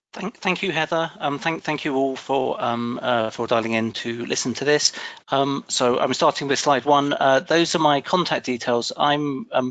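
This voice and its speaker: The delivery moves at a fairly slow pace with ordinary pitch variation and hardly any pauses. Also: man, fairly high pitch for a man. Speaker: pension policy official. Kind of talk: presentation. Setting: webinar. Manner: halting, many fillers and repeats.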